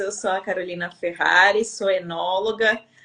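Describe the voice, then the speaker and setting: A woman is speaking at a fairly slow pace. Her intonation stays fairly even. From Brazil, Rio de Janeiro. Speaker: winemaker and women's mentor. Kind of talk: live-stream interview chat.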